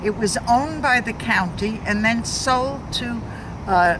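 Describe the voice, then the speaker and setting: Over noticeable background noise and audible room echo, a woman with a New York accent speaks at a very slow pace with ordinary pitch variation. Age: 80s+. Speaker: community activist. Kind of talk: interview. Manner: halting.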